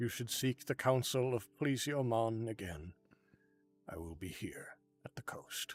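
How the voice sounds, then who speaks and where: Using a put-on character voice at medium pitch, a man talks at a moderate pace with long, frequent pauses. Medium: actual play. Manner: calm, measured, contemplative.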